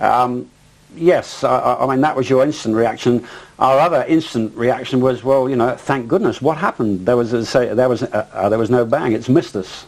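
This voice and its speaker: A man speaks with an English accent at a moderate pace. His pitch is medium, with ordinary pitch variation. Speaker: pilot, eyewitness. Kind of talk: interview testimony. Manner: halting, many fillers and repetitions.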